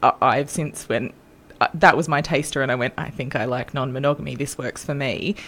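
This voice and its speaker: A woman with an Australian accent speaks at a moderate pace, her very deep, low voice keeping a fairly even intonation. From Australia, north coast of New South Wales. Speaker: guest with polyamory experience. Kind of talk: casual interview chat.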